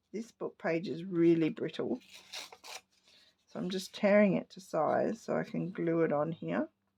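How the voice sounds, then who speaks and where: A woman in an Australian accent at a fairly slow pace. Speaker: papercraft hobbyist. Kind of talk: crafting tutorial.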